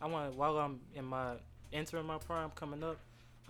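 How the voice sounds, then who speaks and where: Over audible room echo, a man with an American accent talks at a very fast pace with ordinary pitch variation. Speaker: podcast guest. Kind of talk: casual chat.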